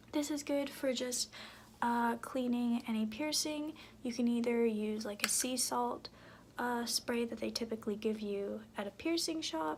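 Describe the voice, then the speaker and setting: A soft-spoken woman is whispering. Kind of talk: ASMR soft-spoken talk to camera about beauty products. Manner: soft-spoken, whispery.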